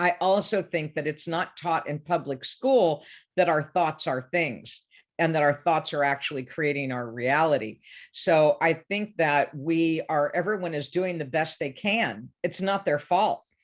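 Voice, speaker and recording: A woman talks in a normal speaking voice at a fairly low pitch, with ordinary pitch variation. Her pace is fairly slow and the background is quiet. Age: 60s. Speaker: life coach. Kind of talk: interview.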